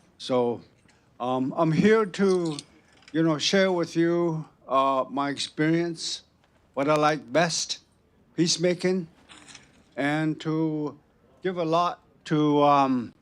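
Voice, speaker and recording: A man talks at a very slow pace, with long, frequent pauses. His pitch sits fairly high, with ordinary variation. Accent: Southwestern US. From Navajo Nation, US Southwest. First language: Navajo. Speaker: retired judge and peacemaker. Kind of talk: panel introduction. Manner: halting.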